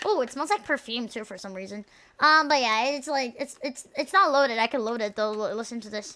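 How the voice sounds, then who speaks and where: A woman's high-pitched, bright and sharp voice, animated in tone, with lively intonation and big swings in loudness. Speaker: vtuber streamer. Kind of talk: casual live stream chat. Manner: stuttering, halting; fast, animated.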